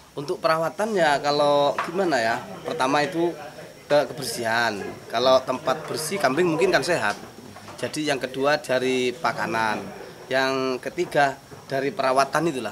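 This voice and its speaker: A man talks at a moderate pace with ordinary pitch variation. Background noise is noticeable. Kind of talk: interview answer. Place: farm machine.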